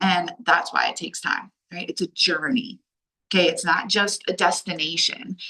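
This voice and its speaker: This woman is loud and animated in tone. She speaks at a medium pitch with an American accent. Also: ordinary pitch variation, moderate pace. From Delaware, US. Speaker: life coach. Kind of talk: online workshop talk. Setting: video call.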